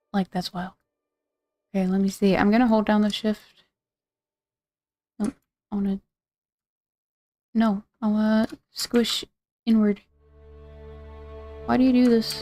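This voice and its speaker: A woman speaks at a moderate pace with long, frequent pauses, in a fairly high pitch and a dark, mellow, somewhat breathy tone, her intonation monotone and flat, the sound dry and close with no echo. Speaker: art and game streamer. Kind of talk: live stream tutorial. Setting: live stream. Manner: casual, thinking aloud.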